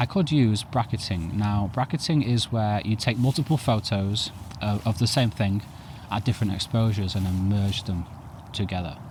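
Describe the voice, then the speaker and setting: A somewhat breathy man's voice with ordinary pitch variation. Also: fairly low pitch for a man, moderate pace. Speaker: photography youtuber. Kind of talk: tutorial. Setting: outdoors.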